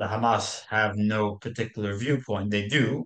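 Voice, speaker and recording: Speaking with an American accent, a man uses a fairly low pitch and a fairly slow pace. The background is quiet. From United States. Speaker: podcast co-host. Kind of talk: discussion podcast. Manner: halting, many fillers.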